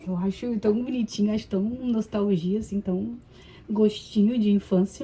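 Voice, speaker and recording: Somewhat breathy, a woman at a medium pitch speaks in a dark, mellow tone with fairly even intonation. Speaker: vlogger, mother. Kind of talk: casual vlog chat while cleaning. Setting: at home, kitchen sink. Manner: casual, chatty.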